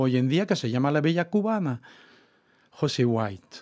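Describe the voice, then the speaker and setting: Against a quiet background, a man with a French accent talks at a fairly high pitch with lively intonation. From France, Brittany. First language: French (speaking Spanish). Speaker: author; guest. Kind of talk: interview. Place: studio. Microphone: studio mic.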